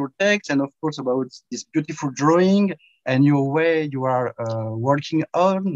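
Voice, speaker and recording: A man talks at a fairly slow pace with a French accent, his pitch fairly high and ordinary in its variation. The sound is dry and close, with no echo. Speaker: event host, interviewer. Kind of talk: interview. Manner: halting.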